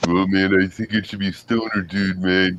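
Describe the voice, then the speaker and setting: A man speaks in a put-on character voice, very deep and low, at a moderate pace with a monotone, flat delivery. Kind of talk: casual slang. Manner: relaxed, lazy, surfer-like.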